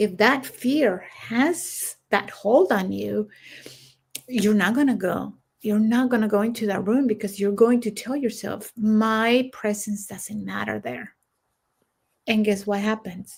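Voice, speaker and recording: A woman speaks at a fairly slow pace, her voice somewhat breathy. Her pitch sits in the medium range, with ordinary variation. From Central America. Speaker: military veteran and coach. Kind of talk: casual chat.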